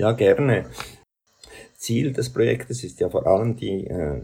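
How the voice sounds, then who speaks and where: With a dark, mellow tone and vocal fry, a man's voice moves through very wide pitch swings. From Central Switzerland. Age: 70s. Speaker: doctor. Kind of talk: interview. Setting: video call.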